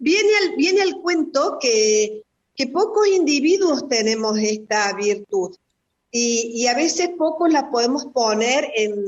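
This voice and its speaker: A woman speaks at a very slow pace in a high voice, her pitch swinging very widely. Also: very even loudness. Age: 50s. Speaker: spiritual therapist. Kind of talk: radio interview. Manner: reflective.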